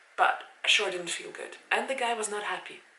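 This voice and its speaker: A woman's fairly high voice with lively intonation in a slight Swiss German accent, amid noticeable background noise and audible room echo. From Switzerland, near Zurich. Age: 30s. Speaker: vlogger. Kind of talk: casual vlog talk to camera. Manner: casual, with hesitations.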